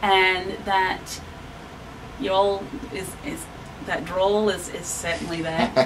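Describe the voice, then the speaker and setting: With an Australian accent, a woman talks at a fairly slow pace amid audible room echo and noticeable background noise. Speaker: town resident. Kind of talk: interview. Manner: consciously slowing down.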